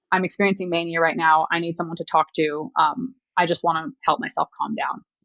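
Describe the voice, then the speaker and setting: Moving at a fairly quick pace, a woman speaks with ordinary pitch variation in a dry, close sound without echo. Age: 20s. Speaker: podcast guest sharing mental health story. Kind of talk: interview testimony. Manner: fast.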